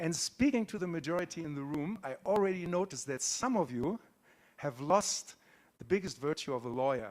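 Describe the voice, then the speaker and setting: A man talks at a fairly quick pace with lively intonation. His pitch is high for a man. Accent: German. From Germany. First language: German. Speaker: conference speaker. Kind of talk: conference talk. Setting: stage with audience. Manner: animated.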